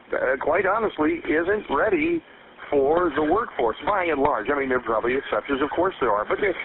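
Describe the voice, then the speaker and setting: With an American accent, a man speaks in a confident tone, his pitch swinging very widely, over noticeable background noise. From United States, Midwest. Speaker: radio show host and voice actor. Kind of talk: morning radio show host interviewing a guest. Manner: conversational, confident, polished broadcaster delivery.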